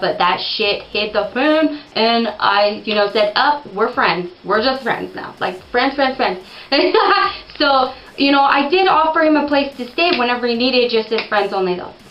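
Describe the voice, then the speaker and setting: Against noticeable background noise and audible room echo, a woman speaks at a fairly high pitch. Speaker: storytelling video host. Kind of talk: casual storytelling monologue. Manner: fast.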